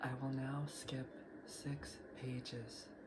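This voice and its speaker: There is noticeable background noise behind this man. He speaks at a very slow pace with a medium pitch. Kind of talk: audiobook reading.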